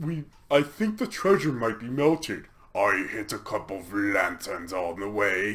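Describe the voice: Putting on a character voice, a man speaks at a moderate pace in a fairly low pitch with big swings in loudness.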